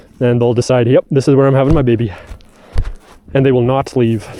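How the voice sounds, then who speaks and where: In a Canadian Prairie accent, a man speaks at medium pitch with fairly even intonation. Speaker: farmer. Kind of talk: tutorial. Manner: casual; soft-spoken.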